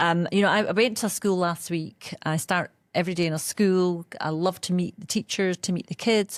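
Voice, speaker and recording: A woman with a Scottish accent speaks at a moderate pace in a medium pitch with fairly even intonation and hardly any pauses. The recording is very clean, dry and close, with no echo and a silent background. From Scotland. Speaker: education executive. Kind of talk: interview.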